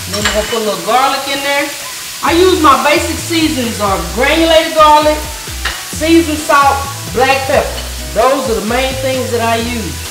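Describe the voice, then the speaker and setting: Over clear background music, the speaker talks at a moderate pace with ordinary pitch variation. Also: woman, high pitch for a woman. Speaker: cooking show host. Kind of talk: cooking tutorial. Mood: warm, playful. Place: kitchen.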